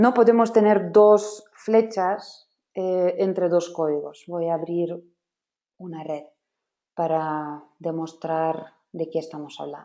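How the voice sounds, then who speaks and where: Speaking very slowly, a woman with a fairly low, dark and mellow voice shows ordinary pitch variation and big swings in loudness. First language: not Spanish (speaking Spanish). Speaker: software trainer. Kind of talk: webinar workshop.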